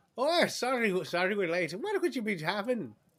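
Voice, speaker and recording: A man puts on a shrill, high-pitched character voice with very wide pitch swings. His pace is moderate and his loudness very even. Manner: yelling, rambunctious.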